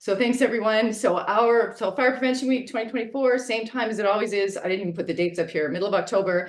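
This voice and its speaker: A woman speaks with lively intonation. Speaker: fire safety public education director. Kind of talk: webinar presentation. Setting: video call. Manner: fast.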